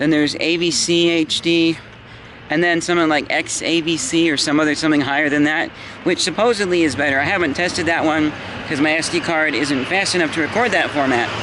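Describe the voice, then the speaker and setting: Against noticeable background noise, a man speaks at a fairly quick pace with fairly even intonation. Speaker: YouTuber vlogging. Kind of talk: casual vlog. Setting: outdoors, walking home. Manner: loud. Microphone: built-in camera mic.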